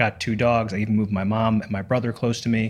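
At a moderate pace and with fairly even intonation, a plain, everyday voice comes through on a very clean recording with a silent background. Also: man. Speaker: podcast host. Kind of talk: interview with scripted intro.

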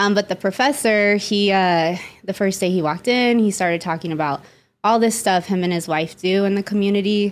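This woman has an unremarkable speaking voice with medium pitch, ordinary pitch variation and an American accent. She talks at a fairly quick pace with very even loudness on a very clean recording with a silent background. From Las Vegas, Nevada. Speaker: psychotherapist. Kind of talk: casual chat.

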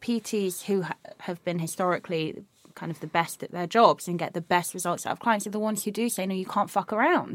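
A woman with an unremarkable speaking voice talks at a fairly quick pace, at medium pitch with ordinary pitch variation. The sound is dry and close, with no echo. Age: 30s. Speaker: podcast host and personal trainer. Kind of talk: casual chat.

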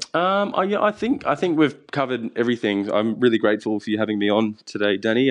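With an Australian accent, a man talks at a very fast pace in a fairly low pitch. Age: 20s. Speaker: chef. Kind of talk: interview. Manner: halting.

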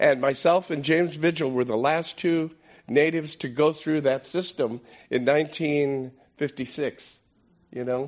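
A man in a normal speaking voice, with fairly even intonation and a moderate pace, against a quiet background. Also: fairly high pitch for a man. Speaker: veteran of a protest occupation, former Marine. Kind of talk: personal testimony to an audience. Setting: stage with audience.

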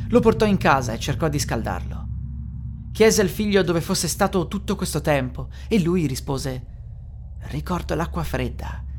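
Moderate pace against noticeable background noise. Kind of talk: ghost story telling, narrated.

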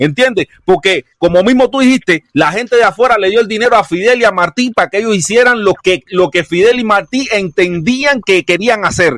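Dry and close with no echo, the recording captures a man using lively intonation. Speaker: panelist on live stream. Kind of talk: heated debate. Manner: forceful, swearing.

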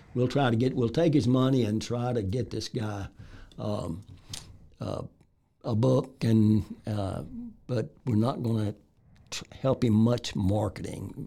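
With a Texan accent and a dark, mellow tone, a man speaks at a fairly slow pace with ordinary pitch variation and long, frequent pauses. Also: medium pitch for a man. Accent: Texan Southern American. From Texas, Waco area. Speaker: author. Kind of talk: interview. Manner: halting.

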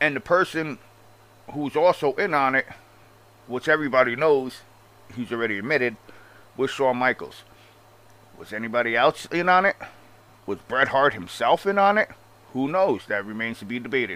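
A man with a strong Long Island accent speaks at a moderate pace in a bright, sharp, animated tone, using lively intonation and long, frequent pauses. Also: medium pitch for a man. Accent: strong Long Island New York. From Long Island, New York. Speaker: wrestling commentary YouTuber. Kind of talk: opinionated rant, casual commentary. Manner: animated, profane, sarcastic.

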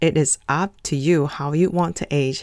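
A woman talks at a very slow pace in a very clean recording with a silent background and a dry, close sound with no echo. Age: 40s. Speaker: self-care consultant podcaster. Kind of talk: casual monologue.

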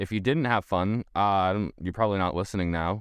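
Recorded dry and close with no echo against a quiet background, a man with a plain, everyday voice speaks at a fairly low pitch with ordinary pitch variation. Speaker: podcast co-host. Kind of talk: casual chat.

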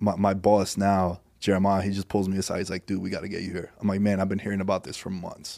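Speaking very fast in a New York accent, a man with a fairly low pitch and a dark, mellow tone keeps a monotone, flat intonation on a very clean recording with a silent background. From New York City (Queens). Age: 30s. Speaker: podcast host. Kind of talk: casual chat. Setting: studio.

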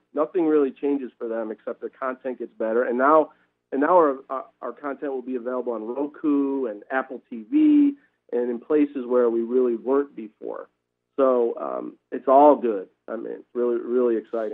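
In an unremarkable speaking voice, a man talks at medium pitch and a moderate pace, his intonation fairly even. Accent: American. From Wisconsin. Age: 40s. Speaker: sports league commissioner. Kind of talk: radio interview.

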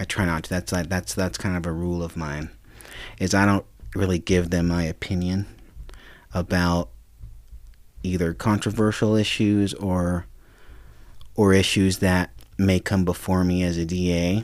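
With an American accent, a man of very deep, low pitch speaks at a moderate pace with fairly even intonation and long, frequent pauses on a very clean recording with a silent background. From Reno, Nevada. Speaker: lawyer and political advisor. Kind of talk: casual chat. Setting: studio.

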